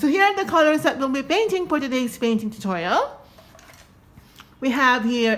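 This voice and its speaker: A woman is speaking. Her pitch swings very widely. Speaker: painting tutorial creator. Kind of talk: tutorial. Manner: casual, chatty.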